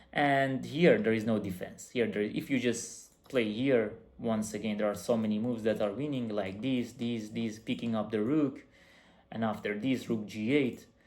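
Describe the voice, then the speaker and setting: At a moderate pace, a man with a medium pitch talks with fairly even intonation, and audible room echo is heard. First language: not English. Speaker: chess coach. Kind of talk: chess game analysis tutorial. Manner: halting.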